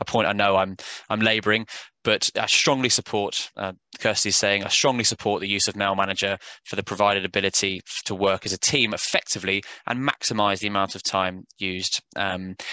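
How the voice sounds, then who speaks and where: A man with a British accent talks at a fairly quick pace in a fairly low pitch, with a bright, sharp tone, monotone, flat intonation and a dry, close sound with no echo. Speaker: software sales executive. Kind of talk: webinar presentation. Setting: online webinar. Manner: hesitant, many fillers.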